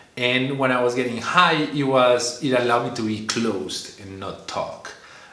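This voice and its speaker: A man talks with a Spanish accent. Audible room echo and noticeable background noise fill the recording. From Colombia. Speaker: vlogger. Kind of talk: casual monologue. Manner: halting, many fillers and repetitions; animated, learned expressive delivery.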